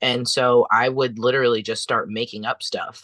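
A man speaks with an American accent at a moderate pace. The sound is dry and close, with no echo. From United States. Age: 30s. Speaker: chef and doula. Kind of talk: panel discussion. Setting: video call.

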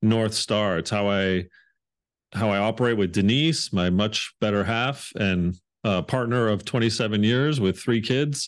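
A man speaks with a Canadian accent at a fairly slow pace. His pitch variation is ordinary, and the background is quiet. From Canada, Hamilton, Ontario. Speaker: leadership author and speaker. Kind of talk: interview conversation. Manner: animated.

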